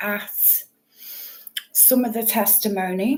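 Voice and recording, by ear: Slow, fairly even speech from a woman, fairly high in pitch with a slightly mellow tone, in audible room echo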